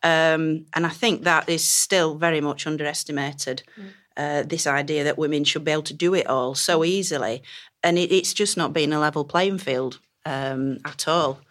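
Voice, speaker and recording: A woman with a Yorkshire accent talks at a moderate pace in a very deep, low voice with ordinary pitch variation. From northern England. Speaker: Egyptologist. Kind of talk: panel discussion.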